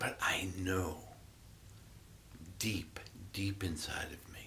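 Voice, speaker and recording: A man speaks with a very deep, low pitch. Room echo is audible. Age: 60s. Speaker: Buddhist meditation teacher. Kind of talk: dharma talk. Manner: reflective, halting with fillers.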